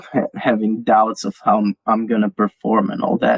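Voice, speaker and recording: At a moderate pace, a man with a non-native accent talks in a dry, close sound with no echo. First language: not English. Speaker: crypto community writer. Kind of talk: interview. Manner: halting, many repeated words.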